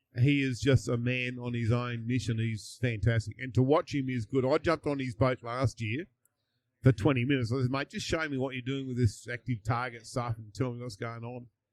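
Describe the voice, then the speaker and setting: A man with an Australian accent at medium pitch, fairly even intonation and big swings in loudness, in a dry, close recording with no echo and a very clean, silent background. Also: fairly quick pace. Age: 60s. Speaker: fishing tournament champion. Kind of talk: casual chat. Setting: live at a fishing tournament.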